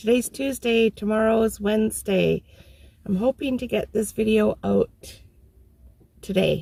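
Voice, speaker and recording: Long, frequent pauses break up this woman's speech. Her pace is fairly slow. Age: 60s. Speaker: van dweller, vlogger. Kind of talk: casual talk to camera.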